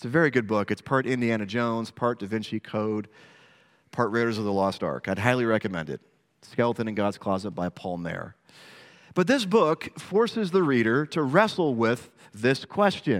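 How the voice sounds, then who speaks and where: Here is a man with a normal speaking voice, medium pitch and lively intonation at a moderate pace. The recording is very clean with a silent background. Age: 40s. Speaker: pastor. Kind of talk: sermon.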